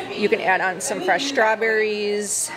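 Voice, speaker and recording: Loud background noise fills the recording. A woman speaks at a fairly slow pace beneath it. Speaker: vlogger. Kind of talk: casual vlog chat. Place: cafe.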